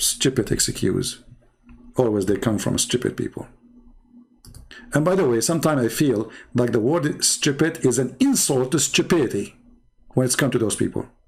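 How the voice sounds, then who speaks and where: With a non-native accent, a man at a medium pitch talks at a moderate pace, keeping very even loudness and ordinary pitch variation, broken by long, frequent pauses. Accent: non-native English, mocked by others. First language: not English. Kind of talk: commentary monologue responding to viewer comments. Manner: animated.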